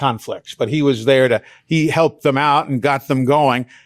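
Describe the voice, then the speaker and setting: An American accent at a moderate pace, a normal speaking voice with fairly even intonation and a dry, close sound with no echo. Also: man. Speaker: veteran sports broadcaster, radio play-by-play announcer. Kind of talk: interview answer, conversational storytelling. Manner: relaxed, fluent, polished.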